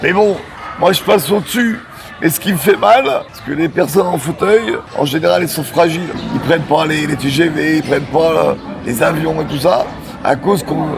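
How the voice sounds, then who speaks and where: With long, frequent pauses, a man with a fairly high pitch and ordinary pitch variation speaks at a moderate pace amid noticeable background noise and audible room echo. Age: 60s. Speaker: wheelchair user, street vendor. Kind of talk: interview testimony. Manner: halting, repetitive.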